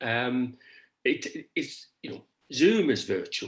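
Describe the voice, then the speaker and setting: A man with vocal fry speaks at medium pitch with very wide pitch swings. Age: 70s. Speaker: performance artist. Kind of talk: conversation about his artwork. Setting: video call. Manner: halting, many repetitions.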